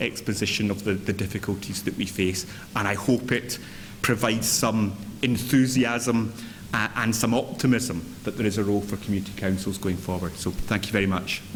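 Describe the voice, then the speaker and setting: With a Scottish accent, a man talks fairly quickly at a fairly low pitch amid noticeable background noise and audible room echo. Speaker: chief executive of a local government association. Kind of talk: conference speech. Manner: energetic.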